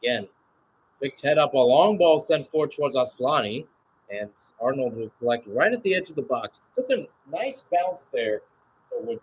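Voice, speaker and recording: Somewhat breathy and fairly high in pitch, a man speaks at a fairly quick pace with very wide pitch swings. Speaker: radio play-by-play sports commentator. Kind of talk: live sports play-by-play commentary. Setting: speaking from Phoenix, Arizona, at an early-morning hour.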